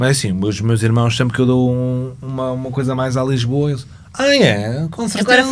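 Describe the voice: Here a man talks in a northern Portuguese accent. Background noise is noticeable. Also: medium pitch for a man, ordinary pitch variation, moderate pace.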